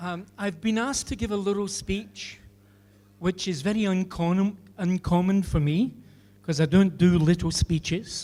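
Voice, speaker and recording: At a moderate pace, someone speaks in a Scottish accent on a very clean recording with a silent background. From Scotland, Glasgow. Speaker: engineer. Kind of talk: speech. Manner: halting.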